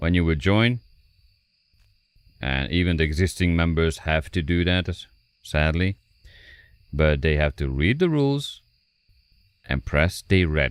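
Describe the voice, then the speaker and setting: A man with a Hungarian accent speaks very deep and low, at a fairly slow pace with ordinary pitch variation and long, frequent pauses. The recording is very clean, with a silent background. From Hungary. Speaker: gaming streamer. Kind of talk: live stream chat.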